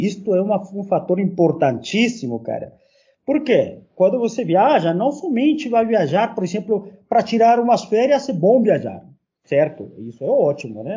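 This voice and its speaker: This man's voice sits high and carries lively intonation. He keeps a moderate pace. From Peru. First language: Spanish (speaking Portuguese). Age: 40s. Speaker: university professor. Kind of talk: casual chat.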